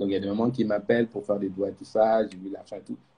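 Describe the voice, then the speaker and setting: A man's very fast, somewhat breathy delivery in a Malian accent, medium in pitch with a dark, mellow tone. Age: young. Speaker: youth organization president. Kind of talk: live interview. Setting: Instagram live stream.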